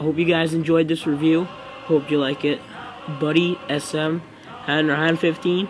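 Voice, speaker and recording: Noticeable background noise under a fairly high-pitched male voice. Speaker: toy reviewer. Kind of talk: video review. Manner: halting, many fillers.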